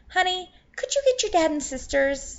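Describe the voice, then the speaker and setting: Putting on a character voice, a woman speaks at a moderate pace in an extremely high, squeaky voice with a gentle tone and very wide pitch swings. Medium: read story. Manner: gentle, sweet.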